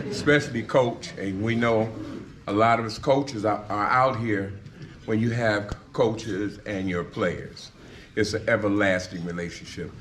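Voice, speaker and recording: A man's fairly low, fairly slow voice with fairly even intonation and audible room echo. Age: 60s. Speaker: retired high school football coach. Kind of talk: speech presenting an inductee.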